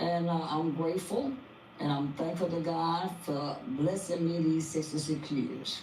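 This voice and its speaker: Noticeable background noise and audible room echo surround a woman who speaks at a fairly low pitch and a fairly slow pace with very even loudness. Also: ordinary pitch variation. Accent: American. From Texas, Fort Worth. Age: 60s. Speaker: interview guest, mother of a public figure. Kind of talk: interview.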